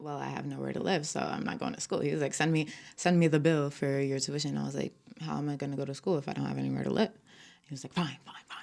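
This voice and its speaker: A woman with an American accent at a very fast pace. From New York (Bronx, Yonkers). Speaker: podcast guest. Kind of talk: casual chat. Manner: animated.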